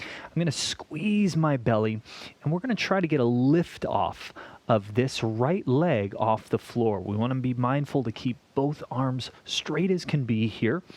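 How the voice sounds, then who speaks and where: A man speaks in an ordinary speaking voice at a medium pitch. His pace is fairly slow and his intonation lively. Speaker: fitness instructor. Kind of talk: tutorial. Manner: instructive counting.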